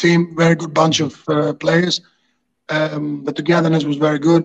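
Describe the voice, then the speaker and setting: A man with a Greek accent, monotone, flat intonation and a fairly slow pace. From Greece. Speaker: football coach and former goalkeeper. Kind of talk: casual interview. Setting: video call.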